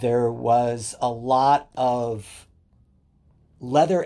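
Recorded very cleanly against a silent background, a man speaks at medium pitch with a dark, mellow tone. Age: 60s. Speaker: leather community educator and writer. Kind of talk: casual interview chat.

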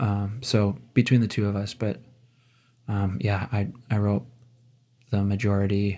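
With an American accent, a man speaks at a fairly low pitch in a dark, mellow tone, fairly slowly, with ordinary pitch variation, long, frequent pauses, and a very clean recording with a silent background. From Wisconsin. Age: 30s. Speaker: musician and songwriter, guest host. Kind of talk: casual chat.

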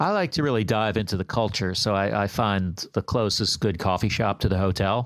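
A man with an unremarkable speaking voice and fairly low pitch talks at a fairly quick pace, with ordinary pitch variation, very even loudness and hardly any pauses, in a very clean recording with a silent background. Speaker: comedian. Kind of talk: stand-up routine.

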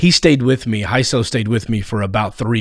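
With an American accent, a man in an ordinary speaking voice talks at a moderate pace and medium pitch with ordinary pitch variation, in a very clean recording with a silent background. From Texas, near Fort Worth. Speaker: comedian and podcast host. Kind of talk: casual interview.

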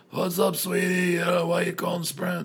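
A man puts on a character voice that is high-pitched, raspy and gravelly. His intonation is monotone and flat. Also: moderate pace. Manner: sweet, friendly.

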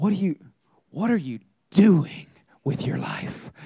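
The voice is a put-on character voice at a middle pitch. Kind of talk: authoritative. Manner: stern and disappointed.

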